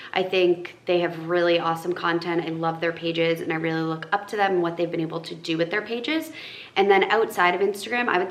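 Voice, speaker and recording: A woman speaks with an American accent at a fairly low pitch and fairly even intonation. Noticeable background noise runs underneath. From northern Massachusetts. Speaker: lifestyle influencer. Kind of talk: casual Q&A vlog. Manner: casual, filler-heavy.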